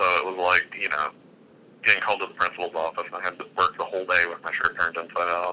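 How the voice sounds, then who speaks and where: A man speaks very fast with an Alabama accent. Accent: Alabama Southern US. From Alabama (Gadsden). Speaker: video producer and freelance cinematographer. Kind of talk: casual interview.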